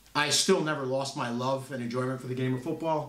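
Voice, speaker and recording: A man talks at a fairly high pitch with fairly even intonation. The room echo is audible and there is noticeable background noise. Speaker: podcast co-host and youth football coach. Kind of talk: casual chat. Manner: loud.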